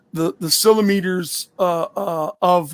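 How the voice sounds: A man talks loudly at a fairly slow pace, his voice gravelly and strained. His pitch sits high and his intonation stays fairly even.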